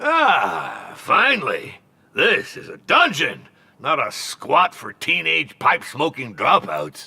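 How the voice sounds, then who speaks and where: A cartoonish character voice at a fairly slow pace. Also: man. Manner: imperious, curt, penny-pinching.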